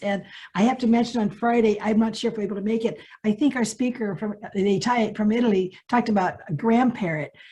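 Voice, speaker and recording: A somewhat breathy, fairly high-pitched woman's voice at a very fast pace with ordinary pitch variation. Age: 70s. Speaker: summit attendee. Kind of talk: group video call discussion.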